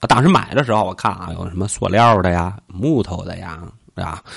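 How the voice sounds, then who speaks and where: Playful in tone, a man talks at a fairly quick pace with lively intonation. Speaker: podcast host. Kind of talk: casual chat. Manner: joking, playful.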